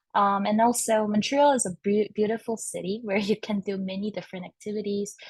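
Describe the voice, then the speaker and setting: In a Korean accent, a woman talks at a fairly quick pace, somewhat breathy, with fairly even intonation. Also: medium pitch for a woman. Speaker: early career researcher. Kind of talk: panel discussion.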